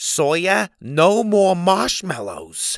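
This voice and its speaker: Putting on a character voice, a man speaks at a high pitch with lively intonation. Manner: calling out firmly.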